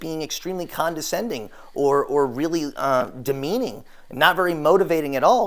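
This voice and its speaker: Speaking fairly quickly, a man delivers his words. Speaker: therapist or coach. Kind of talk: lecture. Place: empty room.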